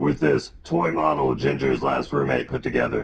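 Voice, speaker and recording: Putting on a character voice, a man speaks raspy and very deep, with a low pitch, at a moderate pace. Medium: comedy sketch. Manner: grave, cryptic, portentous.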